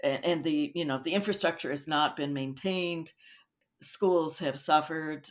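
A woman with a very deep, low pitch speaks at a moderate pace with fairly even intonation. The recording is very clean, with a silent background. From South Asia, expatriate childhood. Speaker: academic expert. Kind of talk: interview. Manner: halting.

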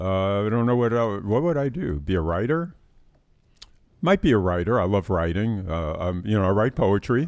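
A man with a fairly low pitch speaks at a moderate pace with lively intonation against a quiet background. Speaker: financial advisor podcast host. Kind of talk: casual chat on personal finance. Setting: studio.

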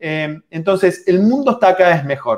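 This man speaks with a high pitch. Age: 40s. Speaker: book author. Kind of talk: live online book presentation. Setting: livestream video call.

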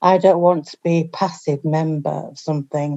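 A woman with a Yorkshire accent and fairly even intonation. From Yorkshire, northern England. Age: 50s. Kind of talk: casual chat.

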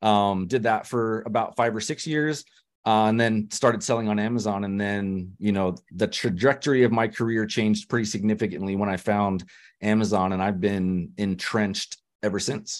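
A man uses a normal speaking voice in a General American accent, fairly low in pitch with fairly even intonation. He speaks at a moderate pace against a quiet background. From US West, Denver, Colorado. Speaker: e-commerce entrepreneur. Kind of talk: interview.

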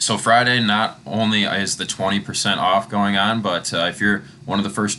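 Upbeat and animated in tone, a man with a fairly low pitch speaks at a moderate pace against noticeable background noise. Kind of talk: promotional arena-announcer pitch, inviting fans to come buy team merchandise. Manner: upbeat, animated, salesy, with a cheerful come-on-down tone.

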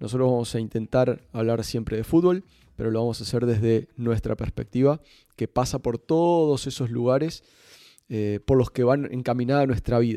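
A man speaks at a moderate pace and medium pitch with a dark, mellow tone and ordinary pitch variation, recorded dry and close with no echo against a quiet background. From Uruguay, Montevideo. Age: 40s. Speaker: football coach and podcast host. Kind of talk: casual chat.

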